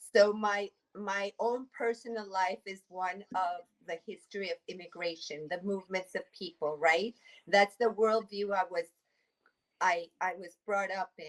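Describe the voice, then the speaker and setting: A woman with a Spanish accent speaks at a fairly slow pace and medium pitch, with ordinary pitch variation and big swings in loudness, in a dry, close sound with no echo. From Mexico City. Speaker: immigration attorney. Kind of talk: interview.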